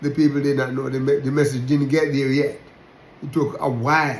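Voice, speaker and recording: Speaking with a Jamaican accent, a man with fairly high pitch talks in a room with audible echo. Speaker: religious teacher. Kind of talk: sermon-style talk. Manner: halting, repetitive.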